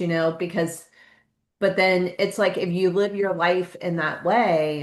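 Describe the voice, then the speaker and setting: A woman speaks in a plain, everyday voice, fairly low-pitched with fairly even intonation, over a quiet background. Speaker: podcast host. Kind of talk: podcast interview conversation.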